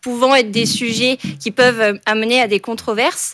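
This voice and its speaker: In an ordinary speaking voice, a woman with a fairly high pitch talks at a moderate pace with fairly even intonation. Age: 20s. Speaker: business school student. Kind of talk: radio interview.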